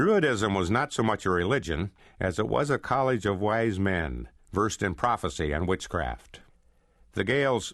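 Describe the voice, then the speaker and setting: A man with an American accent talks at a fairly slow pace, his fairly low voice showing vocal fry and very wide pitch swings. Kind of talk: history audiobook narration.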